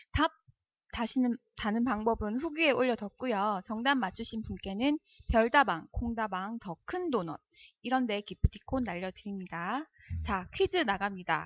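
A woman talks at a fairly slow pace in a fairly high pitch. Her intonation is lively. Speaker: co-host. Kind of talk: casual chat.

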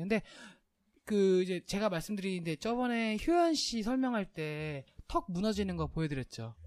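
The speech comes at a moderate pace. It is captured on a very clean recording against a silent background. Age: 30s. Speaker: podcast host, cosmetic surgery commentator. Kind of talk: casual chat.

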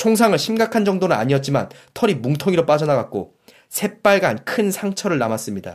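His pitch swings very widely as a man speaks at a fairly quick pace in a very clean recording with a silent background. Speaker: audiobook podcast host. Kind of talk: reading aloud. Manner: formal.

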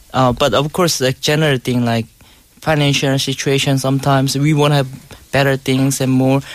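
Pitched at a medium level, the man's speech moves along at a moderate pace. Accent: Korean. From South Korea. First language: Korean. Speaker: guest, husband in intercultural marriage. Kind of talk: casual studio chat. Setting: studio.

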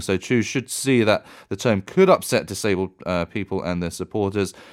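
A man with a British accent at a moderate pace, in a very clean recording with a silent background. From UK. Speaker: reporter. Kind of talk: radio news segment, conversational fact-check.

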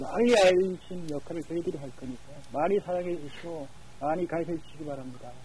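A man's high voice moves at a middling pace, its pitch shifting in a usual way. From South Korea, Gangneung. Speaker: local internet broadcaster and Facebook page admin. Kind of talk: phone interview.

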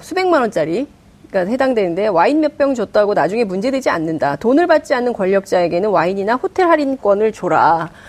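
Her pitch swings very widely. The woman's voice sits fairly high. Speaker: political talk show host, journalist. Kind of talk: moderated debate. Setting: studio.

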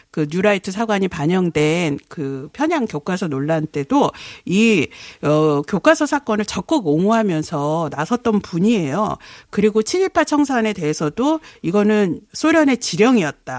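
Recorded very cleanly against a silent background, the delivery unfolds at a fairly slow pace. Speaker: media watchdog NGO executive. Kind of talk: radio interview.

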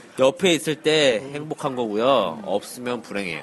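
Noticeable background noise sits behind the speaker. A man talks at a fairly slow pace with lively intonation. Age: 30s. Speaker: podcast panelist. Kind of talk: casual chat.

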